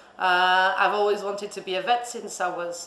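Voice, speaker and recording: A woman at a fairly low pitch and moderate pace, over noticeable background noise. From Portugal, Lisbon. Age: 30s. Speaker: vet. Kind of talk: interview. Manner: halting, many fillers.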